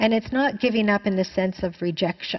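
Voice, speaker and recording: A woman speaks in a Canadian accent with fairly even intonation. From Canada. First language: Chinese. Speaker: spiritual teacher. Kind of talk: answering a viewer question in a spiritual talk.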